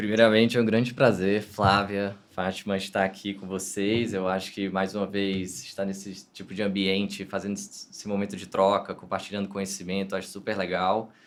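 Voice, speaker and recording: Speaking with a northeastern Brazilian accent, a man talks in a monotone, flat way with hardly any pauses and big swings in loudness. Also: fairly low pitch for a man, moderate pace. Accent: northeastern Brazilian (Ceará). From Fortaleza, Ceará, northeast Brazil. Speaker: digital and customer experience director. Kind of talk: podcast interview.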